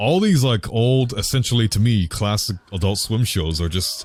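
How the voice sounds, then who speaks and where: Speaking at a moderate pace, a man uses a somewhat breathy voice pitched fairly low. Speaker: gaming youtuber. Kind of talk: casual monologue. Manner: slurring.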